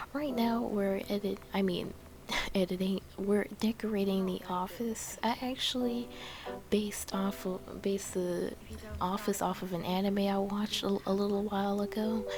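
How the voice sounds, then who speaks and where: A soft-spoken voice at a moderate pace over noticeable background noise. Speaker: gaming YouTuber. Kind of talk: game build voice-over. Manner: soft-spoken, talking quietly; halting, many fillers.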